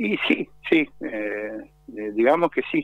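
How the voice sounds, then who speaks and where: A man's voice in a dry sound with no echo. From Argentina, Corrientes; Argentina. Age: 50s. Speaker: kiosk owner, crime victim. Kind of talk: phone interview on radio. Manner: halting. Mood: calm, resigned complaint. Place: street. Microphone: handheld.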